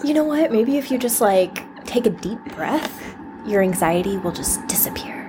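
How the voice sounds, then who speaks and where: Noticeable background noise sits under a woman's fairly high voice. She speaks at a moderate pace with lively intonation. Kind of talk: casual chat. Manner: mellow.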